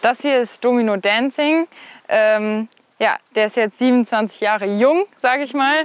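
A woman's high voice at a fairly slow pace, with ordinary pitch variation and a dry sound with no echo. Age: 20s. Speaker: equestrian rider and student; host showing her family's horses. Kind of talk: interview. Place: farm. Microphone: lapel.

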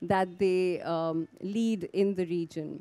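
A woman speaks. Her pace is very slow. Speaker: panel moderator. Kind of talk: moderator introduction. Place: garden. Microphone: handheld.

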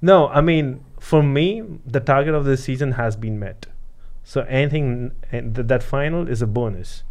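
A man talks in an unremarkable speaking voice, pitched fairly high, at a moderate pace and with ordinary pitch variation. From San Diego, California; California. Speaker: podcast co-host. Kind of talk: casual chat. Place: studio. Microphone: studio mic.

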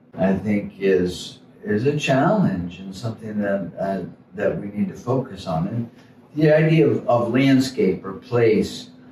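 A man with an American accent speaks at a fairly slow pace with lively intonation, heard over light background noise and audible room echo. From Florida (St. Petersburg); Florida. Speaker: painter and musician. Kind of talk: casual chat. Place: hall.

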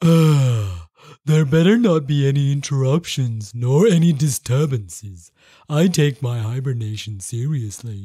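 A man puts on a character voice at medium pitch, speaking at a fairly slow pace. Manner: sleepy, growling, gruff.

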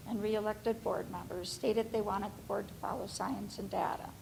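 A fairly high-pitched woman's voice with vocal fry. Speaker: family physician, public commenter. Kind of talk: public comment at school board meeting.

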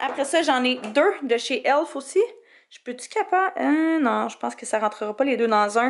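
A woman talks at a fairly slow pace in a high voice with an animated tone. Her intonation is lively and her loudness swings widely. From Quebec. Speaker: beauty YouTuber. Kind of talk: tutorial. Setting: home office. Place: home room. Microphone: phone near.

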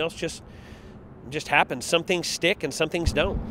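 The man's voice is fairly high-pitched and moves at a fairly quick pace. The sound is dry with no echo, over light background noise. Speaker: arena public address announcer. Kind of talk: interview answer. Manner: loud, animated. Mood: warm, enthusiastic. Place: street. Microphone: handheld.

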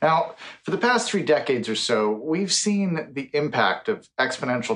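A man with an American accent at a moderate pace, with ordinary pitch variation. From United States. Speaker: futurist and science author; speaker. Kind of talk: conference keynote speech. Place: home room.

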